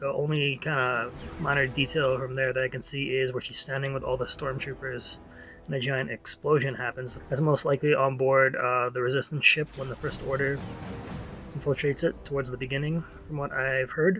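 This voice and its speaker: Over music in the background, a man talks at a fairly quick pace. His delivery is monotone and flat. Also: medium pitch for a man. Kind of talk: casual talk to camera, movie trailer analysis.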